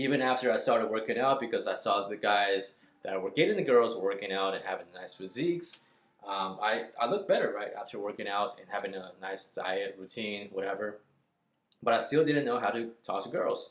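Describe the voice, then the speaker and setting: This man's pace is fairly quick. There are big swings in how loud he gets. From northern China, then Texas from age nine. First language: Chinese. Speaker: dating coach. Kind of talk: casual vlog monologue. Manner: conversational with many fillers.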